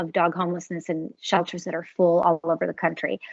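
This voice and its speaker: A woman speaks with a Californian accent. Her pitch sits in the medium range. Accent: Californian American English. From Los Angeles. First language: Spanish. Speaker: voice actress. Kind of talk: casual interview chat.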